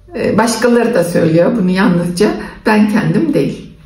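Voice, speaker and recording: A woman speaks at a medium pitch with lively intonation. Noticeable background noise and audible room echo are present. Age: 60s. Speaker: face yoga instructor and vlogger. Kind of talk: casual vlog talk.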